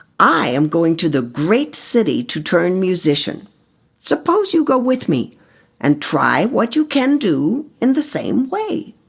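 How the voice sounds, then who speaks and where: A female-sounding voice is put on as a character at a fairly high pitch. It moves through very wide pitch swings. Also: fairly slow pace. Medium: read story.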